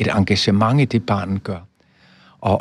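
A man speaks at a fairly slow pace, somewhat breathy, with ordinary pitch variation. The recording is very clean, with a silent background. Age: 80s+. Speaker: professor. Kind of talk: interview.

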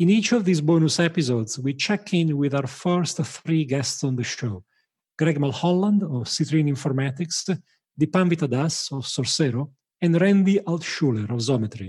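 The man's voice sits fairly high and sounds somewhat breathy. He moves at a moderate pace with lively intonation. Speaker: podcast host. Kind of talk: interview.

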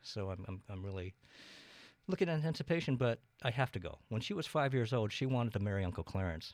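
Speaking at a very fast pace with very wide pitch swings, a man with an American accent is heard on a very clean recording with a silent background. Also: medium pitch for a man. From eastern Washington, US. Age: 60s. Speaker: city council candidate. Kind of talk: casual interview.

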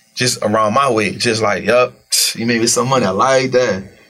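A man with a medium pitch talks at a fairly quick pace while noticeable background noise plays behind him. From US South, New Orleans. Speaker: former street hustler turned investor. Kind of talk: casual interview.

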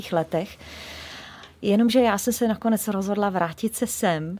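Recorded very cleanly with a silent background, a woman talks at a moderate pace. She has an ordinary speaking voice at a medium pitch. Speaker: singer. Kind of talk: interview. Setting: radio studio.

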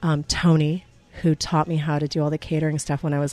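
A woman's very deep, low voice with a dark, mellow tone. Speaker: restaurant owner. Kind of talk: interview.

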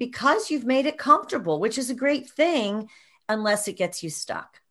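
An animated woman with a bright, sharp tone and lively intonation, against a quiet background. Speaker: podcast co-host. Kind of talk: casual interview chat. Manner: animated, excitable.

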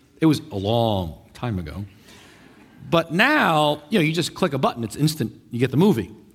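A man talks at a fairly quick pace in an animated tone, his pitch fairly high with very wide swings. His voice carries vocal fry. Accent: New York. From New York. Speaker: pastor. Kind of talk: sermon.

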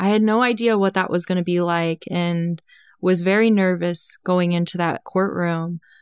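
A woman's plain, everyday voice, medium in pitch, at a moderate pace and very even loudness, dry and close with no echo, on a very clean recording with a silent background. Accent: American. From US, low-income trailer neighborhood. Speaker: whistleblower. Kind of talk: interview.

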